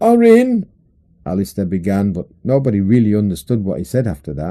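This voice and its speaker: A man with a British accent at a moderate pace. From England. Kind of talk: audiobook short story reading. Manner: humorous storytelling.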